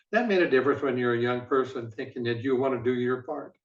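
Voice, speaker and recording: Speaking very fast in an Upper Midwest accent, a man keeps a medium pitch and fairly even intonation. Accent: Upper Midwest American. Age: 80s+. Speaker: former football executive. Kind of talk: interview.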